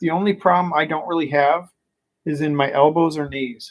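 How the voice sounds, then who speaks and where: Ordinary pitch variation and a moderate pace from a man, a plain, everyday voice with a fairly high pitch. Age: 40s. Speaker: vlogger. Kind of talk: casual monologue. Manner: frustrated venting.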